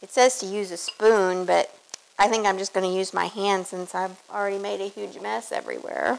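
Speaking at a moderate pace, a woman shows big swings in loudness. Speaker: home cook host. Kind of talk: cooking tutorial. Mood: relaxed, self-deprecating. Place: kitchen. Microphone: lapel.

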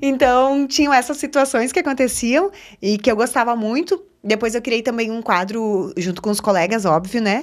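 Speaking at a moderate pace with a strong Gaúcho accent, the voice carries lively intonation over a quiet background. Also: woman. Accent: strong Gaúcho countryside. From Rio Grande do Sul interior, Alecrim (border with Argentina); Rio Grande do Sul, Brazil. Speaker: TV journalist and presenter; TV journalist, presenter. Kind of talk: casual interview chat. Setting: studio. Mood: cheerful, warm. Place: studio. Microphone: studio mic.

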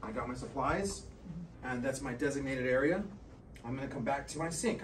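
Light background noise behind a man talking. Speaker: nursing assistant instructor. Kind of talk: tutorial. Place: classroom. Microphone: camera far.

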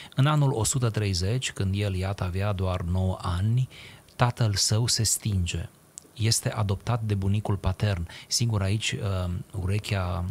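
Amid light background noise, a man talks at a fairly slow pace in a somewhat breathy voice with a fairly low pitch and fairly even intonation. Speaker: radio talk show guest. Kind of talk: interview answer, lecture-like explanation. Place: studio. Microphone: studio mic.

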